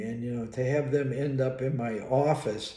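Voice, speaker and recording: Audible room echo surrounds a man whose somewhat breathy voice has a dark, mellow tone, a medium pitch and fairly even intonation. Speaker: psychologist and college professor. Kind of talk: casual monologue. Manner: halting.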